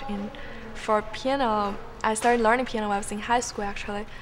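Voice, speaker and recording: Noticeable background noise and audible room echo surround a woman with a Chinese accent, whose medium-pitched voice stays monotone and flat. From China. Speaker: college student. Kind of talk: interview.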